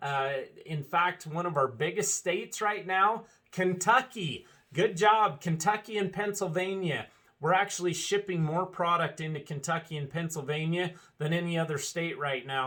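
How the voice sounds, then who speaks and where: A loud man with a high pitch and a bright, sharp tone speaks at a fairly slow pace with ordinary pitch variation. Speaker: dealership owner. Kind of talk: casual video address.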